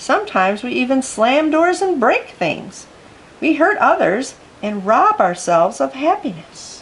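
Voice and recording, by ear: In a room with audible echo, a woman puts on a high-pitched character voice with big pitch swings. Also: fairly slow pace.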